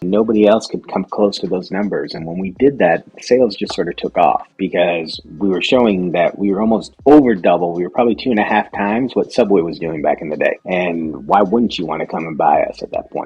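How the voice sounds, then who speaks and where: This man has a plain, everyday voice with a fairly low pitch. He talks at a fairly quick pace with ordinary pitch variation. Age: 40s. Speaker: restaurant company CEO. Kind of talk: interview.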